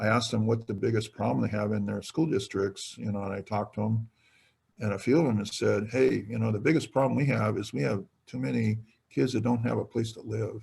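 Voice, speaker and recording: Speaking with a Californian accent, a man uses a fairly low pitch with vocal fry. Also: ordinary pitch variation, fairly quick pace. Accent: Californian American English. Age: 60s. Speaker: retiring state politician. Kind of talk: webinar talk. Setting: webinar.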